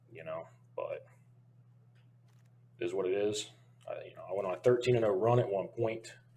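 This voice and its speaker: Somewhat breathy and dark, mellow in tone, a man at medium pitch speaks with big swings in loudness and long, frequent pauses. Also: ordinary pitch variation, fairly quick pace. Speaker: gaming streamer. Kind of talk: casual monologue. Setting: alone in a room. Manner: casual with many fillers.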